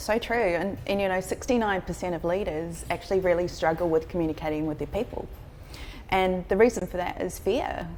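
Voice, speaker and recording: Speaking at a fairly quick pace in a New Zealand accent, a woman with a fairly low pitch shows ordinary pitch variation and vocal fry. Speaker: leadership coach. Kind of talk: interview.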